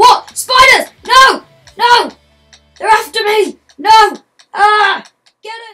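A put-on character voice speaks at a very slow pace. Long, frequent pauses break it up, with faint music in the background. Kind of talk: movie trailer dialogue. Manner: panicked, frightened.

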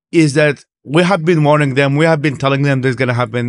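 Over a quiet background, a man with an Arabic accent talks at a very fast pace with ordinary pitch variation. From Iraq. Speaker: human rights activist. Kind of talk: casual chat. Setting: conference. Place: studio. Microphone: studio mic.

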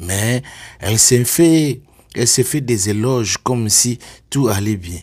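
The speech moves at a very slow pace with long, frequent pauses and ordinary pitch variation, on a very clean recording with a silent background. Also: man, medium pitch for a man. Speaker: online commentator. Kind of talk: video commentary. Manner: animated.

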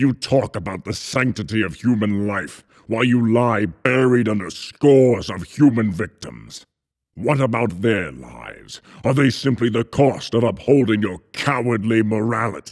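A put-on character voice at a moderate pace. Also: man, medium pitch for a man. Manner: menacing, thundering, accusing.

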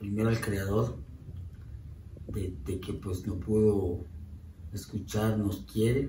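A dark, mellow tone carries fairly even intonation at a slow pace, with audible room echo around it. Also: man, fairly low pitch for a man.

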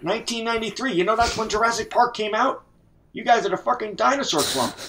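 Over noticeable background noise, a high-pitched man talks very fast in a raised, projected voice with ordinary pitch variation. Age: 80s+. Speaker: online gamer. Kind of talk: casual chat. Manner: halting. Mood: joking, teasing. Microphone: headset.

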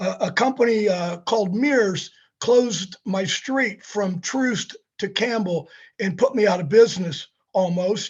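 A man with a Midwestern American accent, high in pitch, at a fairly slow pace and with ordinary pitch variation. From Kansas City, Missouri (Northeast). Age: 60s. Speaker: city council candidate, business owner. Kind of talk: candidate forum answer.

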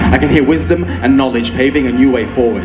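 A man speaks over loud music in the background. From Australia. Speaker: spoken word poet. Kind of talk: live slam poetry performance. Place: stage. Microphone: handheld.

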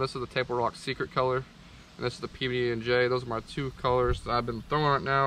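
The sound is dry with no echo, and light background noise is present. A man talks at a fairly quick pace. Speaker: fishing content creator. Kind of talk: tutorial. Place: garden. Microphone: camera far.

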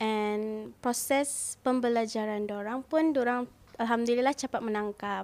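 A woman with a fairly high pitch talks at a fairly slow pace, using ordinary pitch variation. The recording is very clean, with a silent background. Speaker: tailoring business owner and sewing teacher. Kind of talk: interview. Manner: halting, many fillers.

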